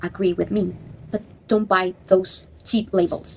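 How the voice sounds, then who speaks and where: Somewhat breathy, a woman talks at a fairly slow pace with a non-native accent. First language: not English. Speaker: goth subculture commentator. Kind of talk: opinion monologue. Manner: animated.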